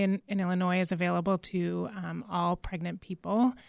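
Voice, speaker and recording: With an American accent, a woman uses an ordinary speaking voice at a medium pitch and a moderate pace. The sound is dry and close with no echo, in a very clean recording with a silent background. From Massachusetts, US. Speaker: clinician. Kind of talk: radio interview.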